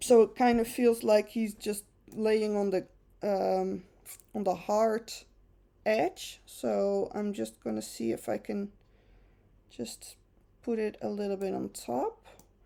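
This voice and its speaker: A woman speaks with a Dutch accent at a very slow pace. Long pauses come often. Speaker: photo retoucher. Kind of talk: tutorial. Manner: casual, chatty.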